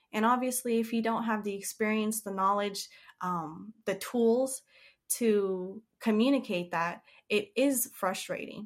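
A woman's normal speaking voice, fairly high in pitch, with fairly even intonation at a fairly slow pace. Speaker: animal trainer and caretaker. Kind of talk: casual interview chat.

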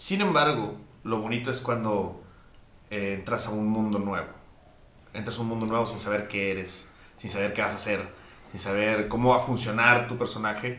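A man's voice comes through with audible room echo, at a moderate pace and with fairly even intonation. He leaves long, frequent pauses. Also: fairly low pitch for a man. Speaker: podcast host. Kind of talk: casual chat.

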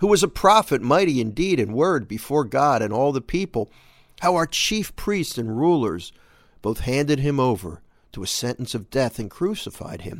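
Very wide pitch swings mark a man's fairly high voice at a moderate pace. The recording is very clean, with a silent background. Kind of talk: scripture reading in a daily devotional, steady and reverent, with a plain, even delivery. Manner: measured, earnest, conversational; time-conscious, brisk.

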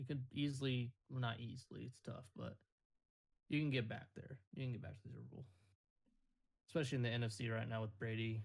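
This man's voice is somewhat breathy, and his speech is broken by long, frequent pauses. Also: medium pitch for a man, fairly quick pace. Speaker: podcast host. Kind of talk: casual chat. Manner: joking, animated.

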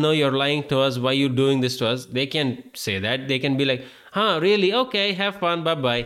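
A man speaks with an Indian accent and lively intonation. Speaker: podcast host. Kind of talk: casual monologue. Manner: animated.

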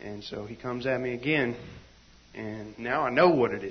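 This man has a medium-pitched voice. It sounds somewhat breathy. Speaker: church member. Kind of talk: testimony. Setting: church meeting with live audience.

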